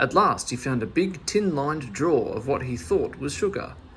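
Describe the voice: At a moderate pace, a man with medium pitch and a fairly bright tone speaks with big pitch swings.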